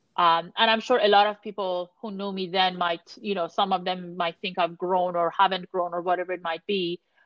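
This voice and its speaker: A woman with an Iranian accent, flat and monotone in intonation, with hardly any pauses. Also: medium pitch for a woman, moderate pace. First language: Persian. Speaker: sports business analytics executive. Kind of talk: interview conversation.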